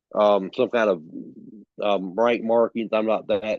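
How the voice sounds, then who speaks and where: A man with a Southern US accent, a fairly low voice, a fairly slow pace, and monotone, flat intonation. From South Carolina. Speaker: author and storyteller. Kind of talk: interview answer. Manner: casual, hesitant.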